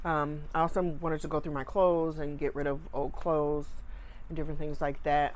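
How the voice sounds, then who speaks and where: Her pitch very deep and low, a woman talks at a fairly quick pace in a monotone, flat intonation. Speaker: home vlogger. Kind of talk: casual vlog chat. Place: home room. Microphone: lapel.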